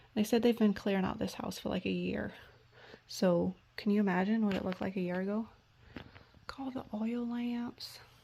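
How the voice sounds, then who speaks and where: Somewhat breathy and dark, mellow in tone, a woman speaks at a medium pitch with long, frequent pauses. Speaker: thrift vlogger. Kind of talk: casual vlog narration. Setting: estate sale. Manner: whispering at times.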